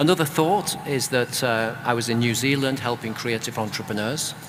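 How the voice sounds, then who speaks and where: Noticeable background noise accompanies a man with a British accent. He talks at a moderate pace with ordinary pitch variation. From UK. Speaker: author and creative business consultant. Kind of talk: panel discussion.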